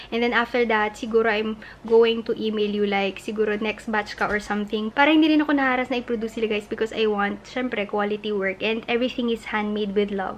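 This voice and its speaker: A woman with a fairly high pitch speaks at a very fast pace. She leaves hardly any pauses. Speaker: lifestyle vlogger. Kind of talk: casual vlog. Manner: animated.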